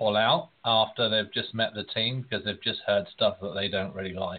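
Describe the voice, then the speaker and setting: With an English accent, a man speaks in a fairly low pitch. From England. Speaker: recruiter. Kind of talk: panel discussion.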